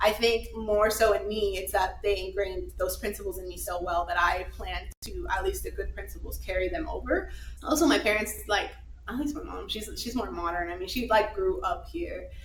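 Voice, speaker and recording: Amid noticeable background noise and audible room echo, a woman in an American accent talks at a moderate pace. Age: 20s. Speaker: physician assistant. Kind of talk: live podcast interview. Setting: live recording with audience.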